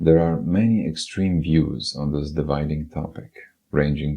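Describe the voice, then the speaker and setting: This man speaks at a moderate pace with a non-native accent. His voice is very deep and low. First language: not English. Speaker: podcast narrator, writer. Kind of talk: personal essay narration (podcast voiceover). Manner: unedited single-take reading.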